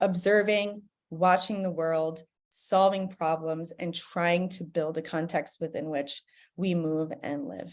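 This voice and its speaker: Speaking at a fairly slow pace in an American accent, a woman has an ordinary speaking voice with fairly even intonation, on a very clean recording with a silent background. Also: fairly low pitch for a woman. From United States. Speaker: professor. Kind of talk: conference presentation.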